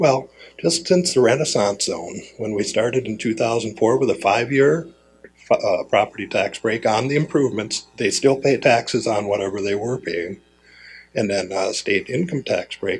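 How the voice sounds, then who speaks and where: This man talks at a moderate pace and a medium pitch, his voice somewhat breathy. His intonation is lively. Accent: Upper Midwest. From Fargo, North Dakota. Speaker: city commissioner. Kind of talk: conference talk. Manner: casual, conversational.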